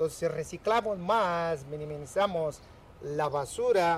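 A man speaks at a fairly high pitch and a fairly slow pace with ordinary pitch variation. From Mexico, Michoacán. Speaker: recycling center worker. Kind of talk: interview. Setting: recycling center. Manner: halting.

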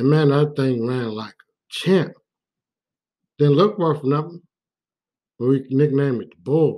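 A man's dark, mellow voice, fairly high pitched, with ordinary pitch variation, a fairly slow pace, long, frequent pauses and big swings in loudness. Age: 40s. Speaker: podcast host, former police officer. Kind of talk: casual monologue. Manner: casual, conversational.

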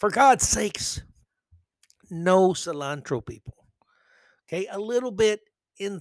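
A man with a high voice speaks in an animated tone at a fairly slow pace, his intonation lively, on a very clean recording with a silent background. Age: 50s. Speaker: podcast host. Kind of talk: solo commentary monologue.

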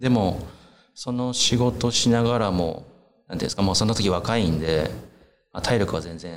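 With audible room echo around him, a man with a fairly low pitch and ordinary pitch variation talks at a fairly quick pace, broken by long, frequent pauses. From Japan, Iki island, Nagasaki, Kyushu. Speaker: chef. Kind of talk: interview.

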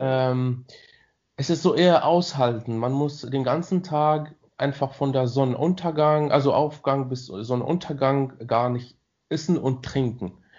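The man's fairly high voice shows ordinary pitch variation as he talks at a fairly slow tempo. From Morocco. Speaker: student. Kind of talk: casual interview chat. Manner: halting.

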